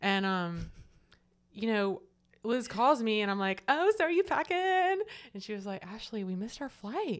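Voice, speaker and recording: A woman with a slight Southern US accent, very wide pitch swings and a moderate pace, on a very clean recording with a silent background. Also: fairly high pitch for a woman. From Florida Panhandle, US South. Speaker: churchgoer sharing faith story. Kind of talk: testimony.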